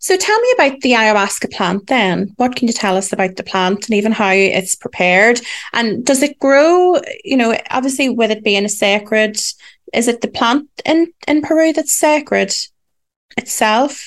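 A woman speaks at a moderate pace with lively intonation and a fairly high pitch. It is an ordinary speaking voice. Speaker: podcast host.

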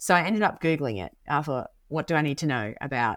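A woman speaks at a fairly quick pace in a very deep, low voice. The recording is very clean, with a silent background. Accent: Australian. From rural Queensland, Australia. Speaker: pastor. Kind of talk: casual chat.

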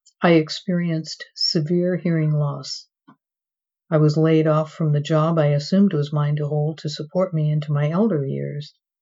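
Her very deep, low voice holds a monotone, flat intonation as the woman speaks at a moderate pace. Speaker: memoir author. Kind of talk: reading aloud.

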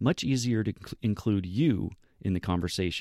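A man with an American accent speaks at a moderate pace. The recording is very clean and dry, close with no echo, against a silent background. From US West Coast, California. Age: 40s. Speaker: podcast host. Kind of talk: scripted narration. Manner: formal.

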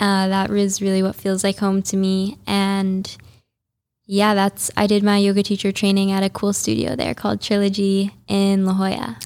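In a very clean recording with a silent background, a woman with an American accent and a plain, everyday voice speaks at medium pitch and a moderate pace, with very even loudness and fairly even intonation. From US Midwest, Chicago suburbs. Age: 20s. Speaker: yoga teacher and influencer. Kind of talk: interview. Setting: studio.

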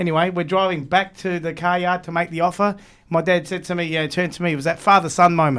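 In a very clean recording with a silent background, a man with an Australian accent talks very fast at a high pitch with monotone, flat intonation. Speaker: podcaster and car enthusiast. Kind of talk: casual chat. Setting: studio.

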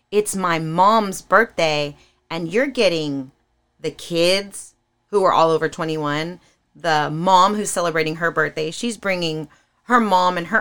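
A normal speaking voice from a woman, fairly low in pitch, at a fairly slow pace with ordinary pitch variation. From California. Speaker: singer. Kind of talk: casual chat.

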